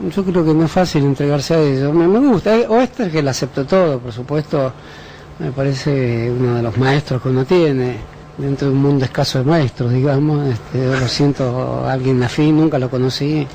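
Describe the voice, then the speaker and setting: A man's fairly high voice with ordinary pitch variation at a moderate pace, against noticeable background noise. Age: 60s. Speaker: intellectual, interview guest. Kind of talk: radio interview. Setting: radio studio. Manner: halting, hesitant with fillers.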